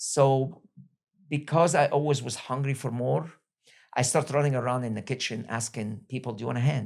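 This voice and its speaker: A man talks at a very fast pace at a medium pitch, with ordinary pitch variation and vocal fry. The recording is very clean, with a silent background. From Egypt. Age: 60s. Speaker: restaurant entrepreneur. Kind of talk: interview.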